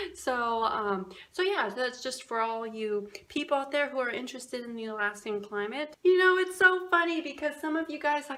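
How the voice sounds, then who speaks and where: A woman's raised, projected voice, high-pitched and animated, with very wide pitch swings and hardly any pauses, over noticeable background noise. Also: moderate pace. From Alaska, Fairbanks. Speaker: vlogger. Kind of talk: casual chat.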